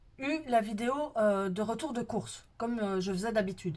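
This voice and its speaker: Her voice fairly high-pitched, a woman speaks at a moderate pace with ordinary pitch variation. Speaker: budget planning vlogger. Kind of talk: casual vlog talk to viewers. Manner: hesitant, many fillers.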